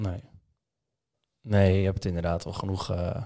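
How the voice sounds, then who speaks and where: The recording is very clean with a silent background, carrying a man's fairly low voice with a dark, mellow tone. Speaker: podcast host. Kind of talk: podcast interview.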